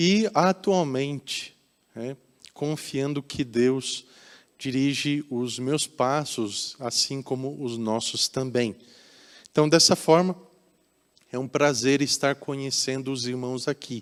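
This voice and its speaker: A man with a Curitiba accent and a medium pitch talks at a very slow pace with long, frequent pauses and ordinary pitch variation. The recording is very clean, with a silent background. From Brazil, Curitiba. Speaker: pastor. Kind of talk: sermon. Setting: church.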